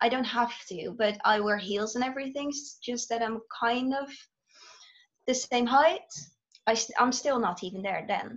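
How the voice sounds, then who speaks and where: A woman with a Dutch accent speaks at a moderate pace and high pitch, with ordinary pitch variation and long, frequent pauses. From Netherlands. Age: 20s. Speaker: student teacher. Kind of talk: casual interview. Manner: hesitant, many fillers.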